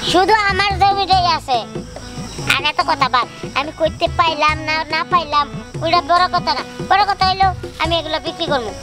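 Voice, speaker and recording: Someone uses a put-on character voice at a moderate pace. Clear music can be heard in the background. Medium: short film. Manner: excitable, rustic.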